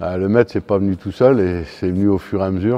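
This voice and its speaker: Speaking at a very fast pace, a man with a very deep, low pitch and a dark, mellow tone shows ordinary pitch variation in a dry, close recording with no echo. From northern France, Lille. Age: 60s. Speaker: fencing coach. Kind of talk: interview. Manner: hesitant, many fillers.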